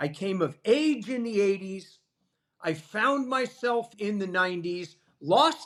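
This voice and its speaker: With an American accent, the speaker uses lively intonation at a fairly slow pace. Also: man. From Southern California. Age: 60s. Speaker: jiu-jitsu instructor. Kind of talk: podcast interview.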